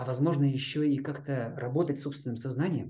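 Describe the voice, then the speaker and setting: A man talks at a moderate pace with a fairly high pitch and a dark, mellow tone. His calm voice is somewhat breathy. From Kazakhstan and Chukotka, Russian Far North. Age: 50s. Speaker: yoga teacher. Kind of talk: interview.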